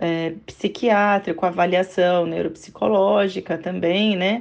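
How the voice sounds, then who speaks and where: A woman talks very slowly against a quiet background. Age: 40s. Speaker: mother of a child with a behavioral disorder. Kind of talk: interview.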